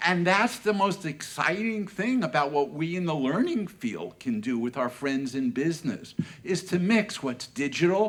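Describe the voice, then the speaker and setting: A man's animated, high-pitched voice at a fairly slow pace, with very wide pitch swings. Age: 70s. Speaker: learning industry analyst and speaker. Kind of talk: conference closing keynote. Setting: stage with audience.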